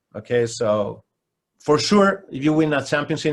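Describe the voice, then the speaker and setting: At a moderate pace, a man with a Spanish accent speaks at a fairly high pitch with ordinary pitch variation, in a very clean recording with a silent background. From Spain. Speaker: basketball coach. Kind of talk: interview. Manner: halting.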